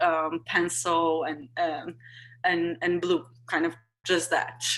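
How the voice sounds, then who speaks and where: In a Portuguese accent, a woman speaks very slowly with a fairly low pitch and a bright, sharp tone. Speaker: artist. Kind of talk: panel discussion. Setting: video call. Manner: halting, many fillers and repetitions.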